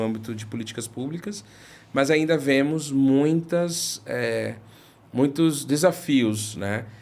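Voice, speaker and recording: At a very slow pace, a man speaks at a medium pitch with lively intonation. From Recife, northeastern Brazil. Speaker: head of institutional relations at a social nonprofit. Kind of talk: interview conversation. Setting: videocast studio. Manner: hesitant, many fillers.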